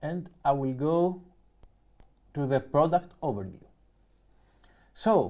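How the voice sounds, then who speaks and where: With a Greek accent, a man talks at a very slow pace, leaving long, frequent pauses. His fairly high voice has a dark, mellow tone and lively intonation. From Greece. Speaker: YouTuber, music producer. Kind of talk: live stream unboxing. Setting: live stream.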